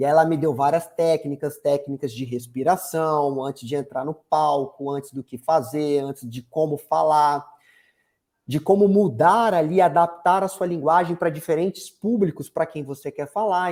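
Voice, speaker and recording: A man speaks with an energetic tone at a moderate pace, his pitch fairly high with ordinary variation, on a very clean recording with a silent background. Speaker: marketing consultant. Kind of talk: interview.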